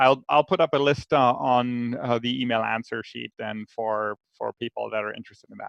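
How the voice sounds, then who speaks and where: Speaking with a German accent at a moderate pace, a man holds a medium pitch with ordinary pitch variation but big swings in loudness. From Germany. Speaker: researcher, panelist. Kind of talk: panel Q&A. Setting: virtual live stream. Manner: halting, many fillers.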